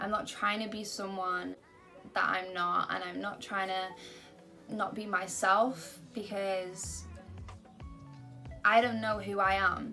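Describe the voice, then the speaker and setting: A woman's medium-pitched voice with an American accent, monotone and flat, at a fairly slow pace with long, frequent pauses, over background music. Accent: American-sounding. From Britain. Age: young. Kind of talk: casual talk to camera.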